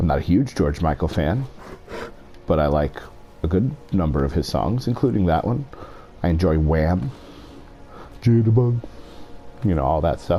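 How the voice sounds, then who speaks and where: Whispering at a moderate pace, a man keeps very even loudness, leaving long, frequent pauses over noticeable background noise. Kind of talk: casual talk to camera, gaming commentary. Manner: whispered, deep.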